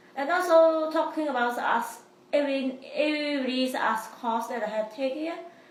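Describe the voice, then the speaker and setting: A high-pitched woman's voice amid audible room echo. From immigrant to the US. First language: not English. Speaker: college student. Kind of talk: interview. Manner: halting.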